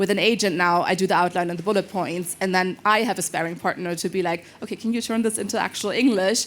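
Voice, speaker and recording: A woman with a non-native accent speaks at a very fast pace. Her medium pitch holds a fairly even intonation. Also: hardly any pauses. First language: not English. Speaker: panelist. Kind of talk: panel discussion.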